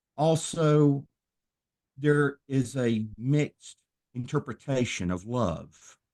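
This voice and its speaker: A dark, mellow voice with a Southern US accent moves at a very slow pace, with long, frequent pauses. The sound is dry and close with no echo, and the pitch varies in an ordinary way. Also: man, medium pitch for a man. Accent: Southern drawl. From US South, Tennessee. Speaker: minister and former professional wrestler. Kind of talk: podcast interview.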